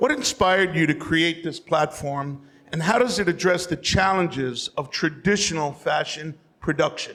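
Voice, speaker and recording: A man speaks loudly in a high voice. His pace is moderate and his pitch varies in an ordinary way. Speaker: panel moderator. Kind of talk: panel discussion.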